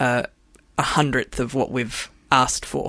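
With an Australian accent, this voice moves along at a fairly slow pace. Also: woman. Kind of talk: radio panel interview. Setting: studio.

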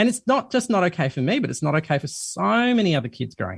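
A man talks at a very fast pace in a high pitch with very wide pitch swings. The background is quiet. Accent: Australian. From Sydney, Australia. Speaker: journalist and documentary host. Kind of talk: radio interview.

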